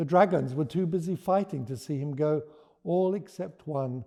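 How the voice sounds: Ordinary pitch variation marks this man's fairly high voice, which has a dark, mellow tone and a moderate pace.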